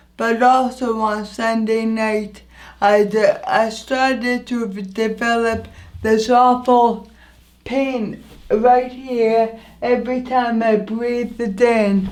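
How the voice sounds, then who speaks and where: A woman speaks at a very slow pace with a fairly high pitch and monotone, flat intonation. The room echo is audible. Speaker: vlogger. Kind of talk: personal storytelling vlog. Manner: halting, some repeated words.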